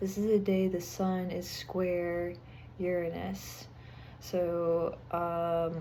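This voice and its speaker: Audible room echo surrounds a woman who talks at a very slow pace in a monotone, flat intonation. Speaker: astrology and tarot reader. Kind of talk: weekly astrology forecast. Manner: casual, with many filler words.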